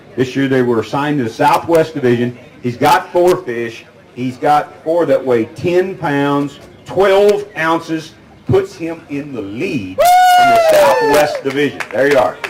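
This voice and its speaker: A man's fairly high voice at a fairly slow pace, lively in intonation, over noticeable background noise. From California, San Joaquin Valley. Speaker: tournament weigh-in emcee. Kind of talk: live weigh-in announcing. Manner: animated.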